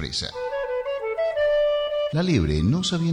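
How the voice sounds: Natural reading-aloud voice.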